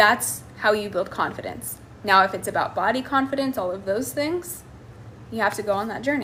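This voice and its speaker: A woman with an American accent speaks at a moderate pace and a fairly high pitch. Her bright, sharp tone has vocal fry and lively intonation. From United States. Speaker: life coach. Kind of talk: live stream Q&A. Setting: live stream.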